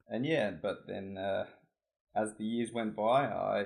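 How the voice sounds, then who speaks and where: With an Australian accent, a man speaks at a fairly low pitch. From Australia (Adelaide, South Australia). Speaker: competitive swimmer and student. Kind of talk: casual chat.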